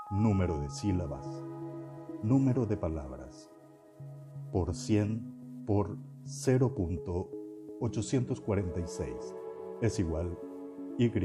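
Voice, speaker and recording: A man's fairly low voice over music in the background, very slow with long, frequent pauses and very wide pitch swings. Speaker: podcast narrator. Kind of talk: educational nonfiction reading.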